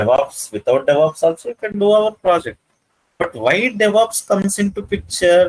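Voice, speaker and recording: With an Indian accent and lively intonation, a man speaks in a high pitch, the sound dry and close with no echo. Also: moderate pace. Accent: Indian English (Telugu). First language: Telugu. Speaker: IT trainer. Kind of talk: lecture. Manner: halting, many fillers.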